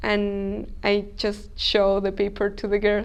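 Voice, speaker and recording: Her voice sits at a medium pitch, and this woman speaks in a flat monotone. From Chile. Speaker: language student. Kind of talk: interview. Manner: hesitant, non-native phrasing.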